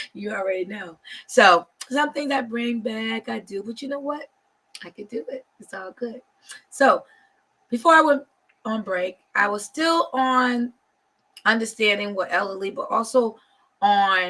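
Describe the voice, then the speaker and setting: Her tone bright and sharp, a woman speaks at a fairly slow pace with a fairly high pitch, lively intonation, big swings in loudness, and long, frequent pauses. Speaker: talk show host. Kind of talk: live talk show.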